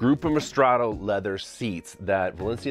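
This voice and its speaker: Faint music sits behind a man's voice, recorded dry with no echo. His pitch moves with ordinary variation. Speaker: home theater hobbyist creator. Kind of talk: casual vlog tour.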